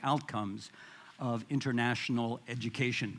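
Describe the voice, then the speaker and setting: A man with a Midwestern accent and a medium pitch. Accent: American Midwest. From US Midwest. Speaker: international education administrator. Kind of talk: conference presentation. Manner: halting, many fillers and repetitions.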